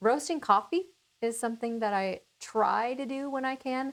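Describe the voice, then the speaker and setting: Using lively intonation, a woman with an American accent and an unremarkable speaking voice talks at a fairly high pitch. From Minnesota. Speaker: cooking channel host. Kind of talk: casual chat.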